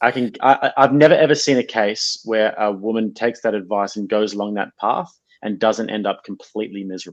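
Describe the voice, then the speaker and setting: Ordinary pitch variation marks this fairly quick speech. Nothing stirs in the quiet background. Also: man, fairly low pitch for a man. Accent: Australian. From Australia. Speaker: content creator. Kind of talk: interview answer.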